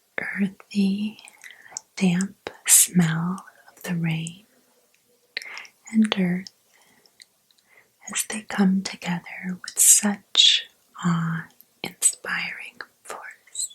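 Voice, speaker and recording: Soft-spoken delivery at a very slow pace, with long, frequent pauses. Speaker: ASMR creator. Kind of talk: ASMR spiritual guided meditation.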